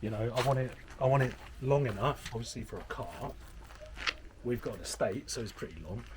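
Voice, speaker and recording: Quiet and with an English accent, a man speaks at a fairly quick pace with long, frequent pauses over noticeable background noise. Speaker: property renovator. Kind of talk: casual chat. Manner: quiet voice.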